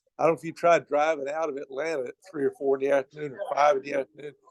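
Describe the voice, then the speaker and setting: A man talks very fast in a Southern US accent at a fairly high pitch, with a dry, close sound and no echo. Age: 70s. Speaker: campus minister. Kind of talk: sermon.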